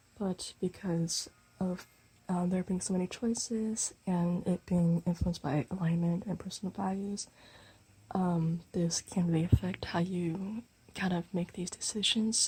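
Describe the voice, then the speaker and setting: Soft-spoken, a woman talks at a moderate pace with medium pitch and fairly even intonation. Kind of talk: tarot reading to camera, asmr-style.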